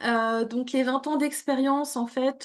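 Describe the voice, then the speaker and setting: Against a quiet background, a high-pitched woman talks very slowly with fairly even intonation. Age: 40s. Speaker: coach, former corporate consultant. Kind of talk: interview. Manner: hesitant, many fillers.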